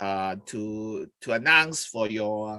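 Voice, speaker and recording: A man speaks in a Hong Kong accent with a bright, sharp tone. His pitch swings very widely. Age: 60s. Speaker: charity chairman hosting an interview. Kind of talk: live-streamed interview. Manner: halting, many fillers.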